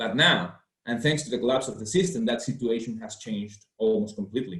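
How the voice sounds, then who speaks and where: With a fairly rapid delivery and extremely broad pitch movement, this man's voice comes across as slightly airy. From Venezuela. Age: 20s. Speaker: political activist. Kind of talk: webinar talk.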